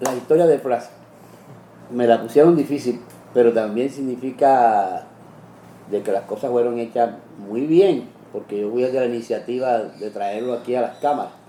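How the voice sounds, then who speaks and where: The speech moves at a moderate pace with ordinary pitch variation and long, frequent pauses, over noticeable background noise. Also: man. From Cartagena, Colombia. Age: old. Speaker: TV interviewer. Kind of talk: interview conversation.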